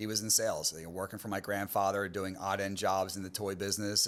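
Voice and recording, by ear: A low-pitched male voice with an American accent, at a moderate pace.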